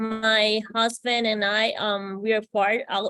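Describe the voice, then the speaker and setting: Fairly even intonation with a Spanish accent, in a dry, close sound with no echo, on a very clean recording with a silent background. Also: woman. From Puerto Rico. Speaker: psychiatry resident. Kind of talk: panel discussion.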